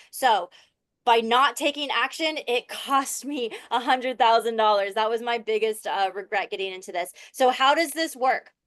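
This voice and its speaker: Speaking at a fairly quick pace with an animated tone, a woman with an American accent uses a fairly high pitch and ordinary pitch variation over a quiet background. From Florida. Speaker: online business coach. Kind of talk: webinar sales pitch.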